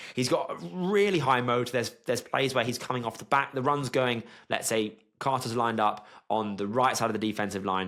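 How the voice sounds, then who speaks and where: In a British accent, a man speaks at a medium pitch with an animated tone, a fairly quick pace and ordinary pitch variation. The recording is very clean, with a silent background. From Britain. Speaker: sports analyst youtuber. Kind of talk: commentary video monologue.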